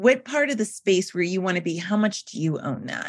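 In an unremarkable speaking voice, a woman talks at a fairly quick pace with lively intonation against a quiet background. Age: 40s. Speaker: wedding PR consultant. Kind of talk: casual chat.

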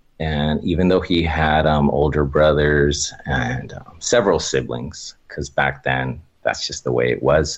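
A man with an American accent and a very deep, low pitch talks at a fairly slow pace with hardly any pauses and fairly even intonation, amid noticeable background noise. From Oxnard, California. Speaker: storyteller guest. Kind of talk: casual interview, telling personal stories.

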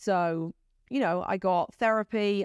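A woman talks in a British accent. The sound is dry and close with no echo, and the recording is very clean with a silent background. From UK. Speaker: entrepreneur and executive. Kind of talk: interview.

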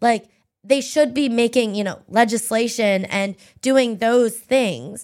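In an American accent, a woman speaks at a very slow pace with fairly even intonation. Her pitch is fairly high, and the recording is very clean with a silent background. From Pennsylvania, US. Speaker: political strategist and social media creative director. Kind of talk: casual interview chat.

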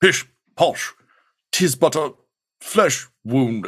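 This is a put-on character voice. It sounds robotic. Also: man, fairly high pitch for a man. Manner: nonchalant.

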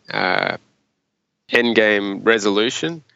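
Fairly even intonation marks this speaker, who talks with an Australian accent. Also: man. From regional Australia. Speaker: investment manager. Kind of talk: interview.

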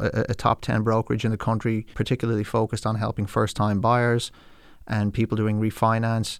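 A man with an Irish accent, medium pitch and a very fast pace, on a very clean recording with a silent background. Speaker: financial advisor. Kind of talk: casual interview.

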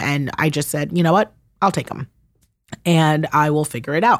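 Fairly quick speech with ordinary pitch variation on a very clean recording with a silent background. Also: woman. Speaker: podcast host and guest, adoptive/foster parent. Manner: animated, emotional.

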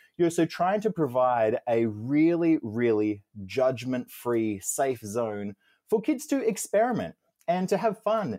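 In an Australian accent, a man with a dark, mellow tone talks at a fairly slow pace with very wide pitch swings, on a very clean recording with a silent background and a dry, close sound with no echo. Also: medium pitch for a man, very even loudness. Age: 30s. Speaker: children's book author. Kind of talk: interview.

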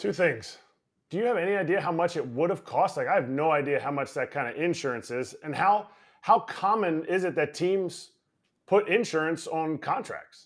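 On a very clean recording with a silent background, a man speaks at a moderate pace. His pitch is high, with ordinary variation. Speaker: baseball coach and former player co-host. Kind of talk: casual sports chat.

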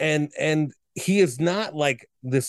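A man with an ordinary speaking voice, medium pitch and lively intonation, over a quiet background. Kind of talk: casual chat.

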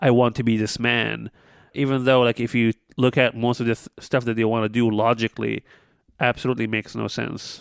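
A man at a medium pitch talks fairly quickly in a flat monotone, the sound dry and close with no echo and the background completely silent on a very clean recording. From North Africa. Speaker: podcast co-host. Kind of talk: casual chat.

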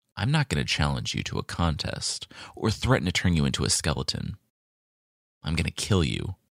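Putting on a character voice, a man rumbles at a very deep, low pitch and a fairly quick pace.

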